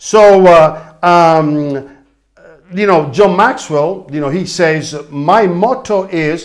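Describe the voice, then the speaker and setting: A man speaks in a high voice with lively intonation and an animated tone. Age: 60s. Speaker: leadership coach. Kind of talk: motivational talk.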